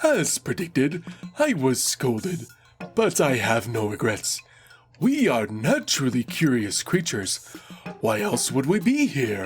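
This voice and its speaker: Using a put-on character voice at medium pitch, a man speaks at a fairly slow pace. Faint music plays in the background. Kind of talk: read-aloud item commentary. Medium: voice reel.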